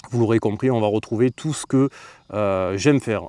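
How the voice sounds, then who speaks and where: With a southern French accent, a man talks at a medium pitch and a fairly quick pace in a dark, mellow tone, with ordinary pitch variation, in a very clean, silent-background recording that is dry and close with no echo. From Marseille. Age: 30s. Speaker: streamer. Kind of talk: casual vlog talk to camera. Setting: outdoors.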